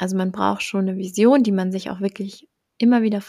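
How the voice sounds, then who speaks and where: A woman speaks at a medium pitch with a somewhat breathy voice and fairly even intonation. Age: 20s. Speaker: entrepreneur and mentor for mothers. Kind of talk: casual interview chat.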